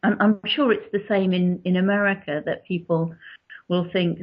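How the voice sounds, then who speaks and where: In a southern English accent, a woman speaks at medium pitch and a moderate pace, her intonation fairly even and her voice somewhat breathy. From born in Yorkshire, grew up in southern England. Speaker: author. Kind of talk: interview.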